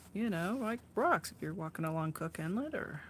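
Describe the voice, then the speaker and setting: Her pitch is fairly low for a woman. She speaks with lively intonation. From Oregon, US Pacific Northwest. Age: 60s. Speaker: artist and live-stream host. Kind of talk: casual chat while painting on a live stream. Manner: relaxed, with many fillers and restarts.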